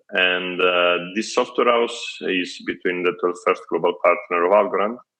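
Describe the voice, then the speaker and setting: A man at a moderate pace in an Italian accent. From Italy. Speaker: tech startup CEO. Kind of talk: interview. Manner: halting.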